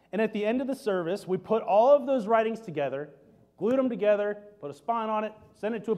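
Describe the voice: Plain reading aloud, pitch varying in an ordinary way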